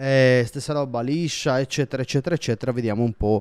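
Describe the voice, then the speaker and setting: On a very clean recording with a silent background, a man with a medium pitch speaks at a fairly quick pace in an animated tone with ordinary pitch variation. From Sardinia, Italy. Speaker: football YouTuber. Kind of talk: casual vlog commentary.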